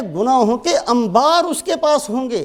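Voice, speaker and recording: A man speaks at an extremely high pitch, his voice swinging very widely up and down. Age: 50s. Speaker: Islamic preacher. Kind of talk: sermon.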